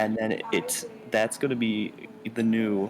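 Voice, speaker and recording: A soft-spoken man's voice, medium in pitch, at a very slow pace. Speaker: student. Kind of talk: casual chat. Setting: library. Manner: halting.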